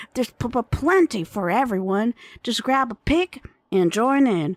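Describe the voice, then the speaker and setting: A woman puts on a Southern accent as part of a character voice, talking at a moderate pace with a fairly high pitch that swings very widely. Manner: stuttering, hesitant.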